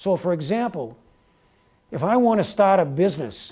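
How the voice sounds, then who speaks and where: Speaking in a New York accent, a man has a dark, mellow tone and lively intonation. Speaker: speaker giving a talk. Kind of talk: lecture Q&A. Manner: fast.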